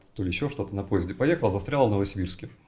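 A somewhat breathy man with lively intonation, on a very clean recording against a silent background. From Siberia, Novosibirsk. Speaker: writer and writing teacher. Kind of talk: casual interview.

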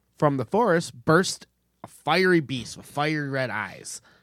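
Over a very clean recording with a silent background, a man speaks at a moderate pace with lively intonation and an animated tone. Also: big swings in loudness. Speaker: podcast host. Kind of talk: casual comedic storytelling. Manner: animated, joking.

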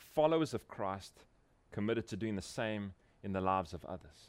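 A man speaks with a South African accent and ordinary pitch variation. The recording is very clean, with a silent background. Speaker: pastor. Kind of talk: conference workshop talk. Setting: breakout room with live audience.

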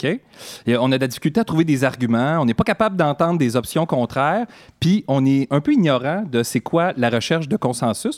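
The man has an ordinary speaking voice, fairly high in pitch, with lively intonation at a fairly quick pace. The recording is very clean with a silent background and a dry, close sound with no echo. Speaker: co-host comedian. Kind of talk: comedic talk show banter.

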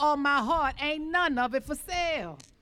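This woman's voice is high, with a bright, sharp tone, and she talks at a moderate pace. The recording is very clean, with a silent background. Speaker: poet and community speaker. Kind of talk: spoken word poetry and speech.

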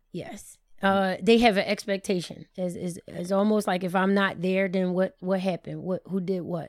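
Medium-pitched female speech at a moderate pace with hardly any pauses, in a very clean recording against a silent background. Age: 30s. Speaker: cake baker and business owner. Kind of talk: casual chat. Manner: animated.

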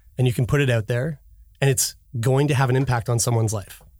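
This man talks at a fairly quick pace and a medium pitch, sounding somewhat breathy, with ordinary pitch variation on a very clean recording against a silent background. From Halifax, Nova Scotia. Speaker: actor and podcast host. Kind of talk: casual interview chat. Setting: studio.

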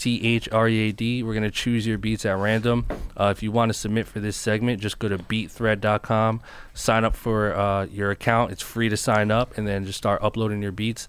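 A man's fairly low voice with an American accent, moderate in pace and monotone, flat in intonation. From New Jersey, Newark. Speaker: podcast host and music producer. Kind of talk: casual chat.

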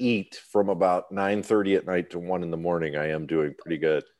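This man talks at a fairly quick pace in an American accent. His tone is dark and mellow. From US Midwest. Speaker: musician. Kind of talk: casual chat.

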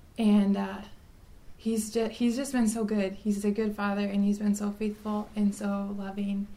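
In an American accent, a woman speaks with a dark, mellow tone that is somewhat breathy. Her intonation is monotone and flat. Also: medium pitch for a woman, moderate pace. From South Dakota, US. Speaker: religion teacher. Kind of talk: testimony.

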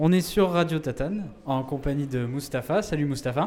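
With a dark, mellow tone and a fairly high pitch, a man speaks at a moderate pace with lively intonation. The recording is very clean, with a silent background. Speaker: podcast host. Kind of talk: live public interview. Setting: bar with live audience.

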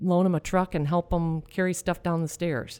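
In a very clean recording with a silent background, a woman speaks with an American accent. Her voice is fairly low with a dark, mellow tone, at a moderate pace. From US Midwest, Michigan. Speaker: restaurant franchise owner. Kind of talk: casual interview chat.

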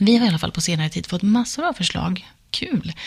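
Her pitch swinging very widely, a woman talks at a fairly quick pace. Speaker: podcast host, journalist and dancer. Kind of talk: podcast intro and outro.

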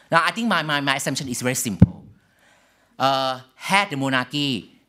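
On a very clean recording with a silent background, a man at medium pitch uses a bright, sharp tone and lively intonation. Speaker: political scientist. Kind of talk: lecture.

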